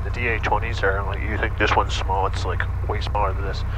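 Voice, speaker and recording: Noticeable background noise sits behind a man who talks at a fairly quick pace in a dry sound with no echo. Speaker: flight instructor. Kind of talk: instruction. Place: plane. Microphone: headset.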